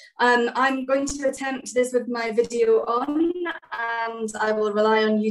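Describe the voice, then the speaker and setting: A woman speaks with a Scottish accent. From Scotland, Edinburgh. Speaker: government development director. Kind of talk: formal address. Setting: video call.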